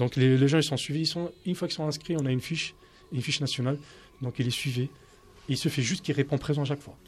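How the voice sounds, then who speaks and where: Very fast yet broken by long, frequent pauses, a man's somewhat breathy voice sits at a fairly high pitch with fairly even intonation. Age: 30s. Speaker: street soccer national team coach. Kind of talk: radio debate.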